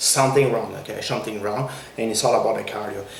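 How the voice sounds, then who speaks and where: A man with a French Canadian accent at a very fast pace, fairly even intonation, audible room echo and noticeable background noise. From Quebec. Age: 40s. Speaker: fitness trainer. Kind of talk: tutorial. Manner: repetitive, halting with many fillers.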